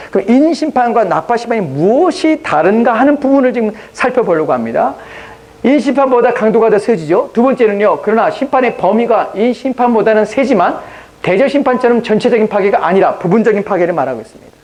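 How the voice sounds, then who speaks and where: Lively intonation runs through this fairly quick delivery, set against noticeable background noise. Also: man, extremely high pitch for a man. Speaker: pastor. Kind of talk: sermon. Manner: fast.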